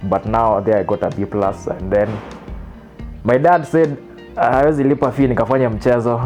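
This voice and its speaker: A man with a Kenyan accent talks at a moderate pace with ordinary pitch variation. Music plays in the background. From Meru, Kenya. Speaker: lawyer and film director. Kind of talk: interview answer. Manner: casual, mixing English and Swahili.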